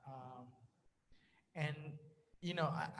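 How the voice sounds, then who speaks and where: The voice carries a Spanish accent and sounds somewhat breathy. Its intonation stays fairly even. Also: man. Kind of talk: panel discussion.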